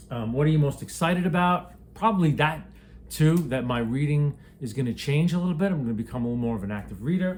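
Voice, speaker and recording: A man speaks very fast with an American accent, his pitch fairly high. His voice is somewhat breathy, with lively intonation. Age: 50s. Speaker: booktuber. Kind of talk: casual vlog. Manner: halting.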